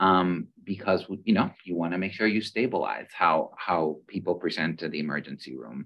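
Over a quiet background, a man talks at a moderate pace with hardly any pauses and ordinary pitch variation. His very deep, low voice carries vocal fry. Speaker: medical school dean; panelist. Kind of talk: panel discussion. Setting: video call. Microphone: video call.

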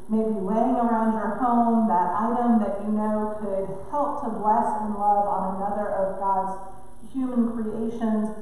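The speech is monotone and flat, with strong room echo. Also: woman, fairly slow pace. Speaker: pastor. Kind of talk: church announcement. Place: church. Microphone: podium.

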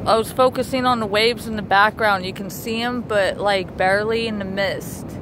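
The speech moves at a fairly slow pace. There is noticeable background noise, and the sound is dry with no echo. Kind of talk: casual family chat. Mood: excited, amused. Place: beach. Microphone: phone near.

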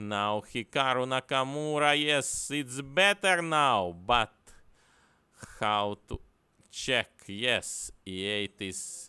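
A man at medium pitch talks at a very slow pace with a bright, sharp tone and lively intonation in a very clean recording with a silent background. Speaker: chess commentator. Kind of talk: live commentary. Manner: animated, breathless, rising to a dramatic climax.

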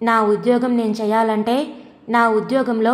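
The voice in this recording is an unforced reading voice.

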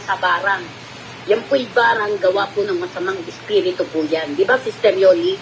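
Noticeable background noise runs under a woman's medium-pitched voice. She talks at a fairly quick pace with ordinary pitch variation. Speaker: faith healer. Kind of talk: religious testimony livestream.

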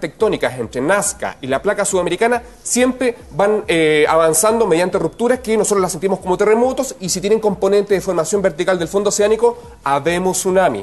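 Through noticeable background noise, a man speaks fairly quickly at a high pitch with ordinary pitch variation and hardly any pauses. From Chile. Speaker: geographer. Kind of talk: explanatory TV interview.

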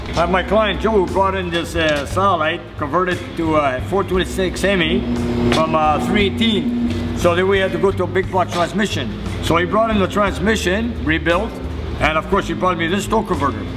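Music plays behind a man talking at a fairly quick pace. His loudness stays very even. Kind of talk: tutorial. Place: garage.

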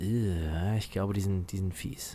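A man speaks at a very slow pace in a fairly low, somewhat breathy voice with ordinary pitch variation. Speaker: gaming YouTuber. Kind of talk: let's play commentary. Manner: animated.

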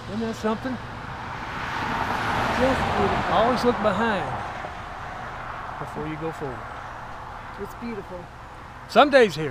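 Loud background noise surrounds a man speaking at a moderate pace. The sound is dry with no echo, and he leaves long, frequent pauses. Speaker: travel vlogger. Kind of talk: casual vlog chat. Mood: relaxed, admiring. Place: open country. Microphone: phone near.

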